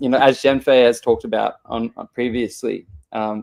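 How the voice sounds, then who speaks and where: In a very clean recording with a silent background, a man with an Australian accent talks at medium pitch and a moderate pace. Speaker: show host. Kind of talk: casual chat. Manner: halting, many repeated words.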